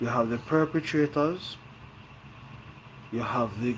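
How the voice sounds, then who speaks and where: Ordinary pitch variation from a man, with noticeable background noise. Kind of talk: podcast monologue.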